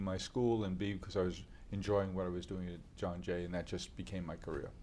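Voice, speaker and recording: A man with a New York accent rattles along at a very fast pace, fairly low in pitch, with fairly even intonation. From New York City, Queens. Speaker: company founder. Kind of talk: interview. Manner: halting, many fillers.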